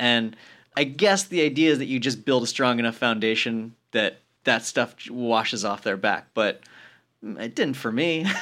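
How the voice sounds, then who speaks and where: With an American accent and a bright, sharp tone, a man of medium pitch speaks at a moderate pace with ordinary pitch variation on a very clean recording with a silent background. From US, rural Colorado mountain town. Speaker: comedy writer. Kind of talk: casual chat. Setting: studio.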